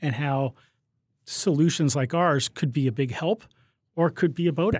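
A man with a plain, everyday voice, fairly high in pitch and fairly quick in pace, ordinary pitch variation, a dry, close sound with no echo, and a very clean recording over a silent background. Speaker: tech company executive. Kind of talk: interview.

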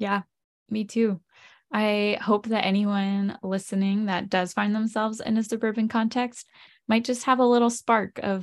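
A woman with an American accent speaks fairly slowly at a medium pitch in a monotone, flat intonation against a quiet background. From Lancaster, Pennsylvania. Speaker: ministry community leader. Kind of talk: casual chat.

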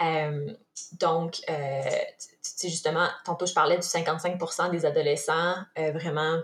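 A woman speaks with a fairly low pitch and monotone, flat intonation. She leaves long, frequent pauses. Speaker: nutritionist and former elite athlete. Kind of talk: interview.

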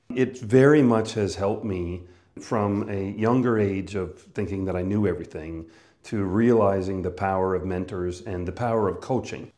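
With a Canadian accent and a dark, mellow tone, a man speaks at a moderate pace and a fairly low pitch, showing ordinary pitch variation amid audible room echo. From Canada, northern Manitoba. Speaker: business coach and speaker. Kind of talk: personal monologue about career.

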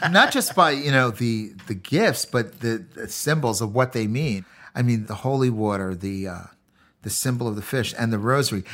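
A man speaks at a moderate pace and medium pitch with ordinary pitch variation in a plain, everyday voice. The recording is very clean, with a silent background. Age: 50s. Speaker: chef and former prisoner. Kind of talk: interview testimony.

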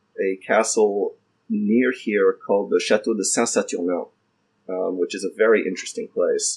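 A man talks in an American accent while music plays in the background. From Washington DC, US. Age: 50s. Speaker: blacksmith and business owner. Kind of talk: casual interview conversation. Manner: many fillers and repetitions.

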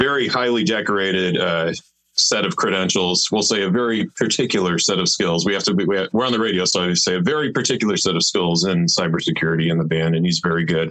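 This man has a very deep, low voice with ordinary pitch variation. He talks at a very fast pace. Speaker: drummer and orchestrator in band. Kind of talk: casual interview chat.

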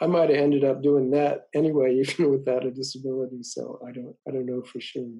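A man speaks very fast at a medium pitch, with hardly any pauses and a dark, mellow tone. His intonation is monotone and flat, while his loudness swings widely. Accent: American. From US South (southern New Mexico). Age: 70s. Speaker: research entomologist. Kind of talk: interview. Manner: halting, many fillers.

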